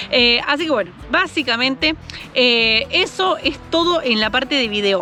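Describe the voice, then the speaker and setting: Over noticeable background noise, a woman speaks in a high voice with ordinary pitch variation. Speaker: motorcycle travel vlogger. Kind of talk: travel tutorial. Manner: fast; hesitant fillers.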